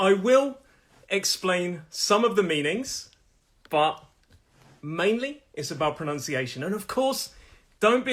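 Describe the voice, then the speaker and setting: With lively intonation, a man with a Nottingham accent speaks at a moderate pace. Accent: Midlands English (Nottingham). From English Midlands, Nottingham. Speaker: English pronunciation teacher. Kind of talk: live online lesson. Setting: live stream.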